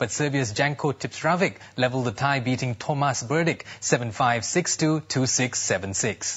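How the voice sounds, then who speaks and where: A man with a plain, everyday voice talks at a moderate pace with hardly any pauses, medium pitch, ordinary pitch variation, and very even loudness. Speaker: news presenter; voice actor. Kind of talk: TV sports news read. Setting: studio.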